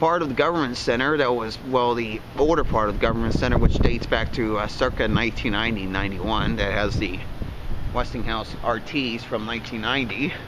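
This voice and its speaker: The recording has a dry sound with no echo and noticeable background noise. A man talks at a fairly quick pace with ordinary pitch variation. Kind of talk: casual vlog commentary. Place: street. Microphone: phone near.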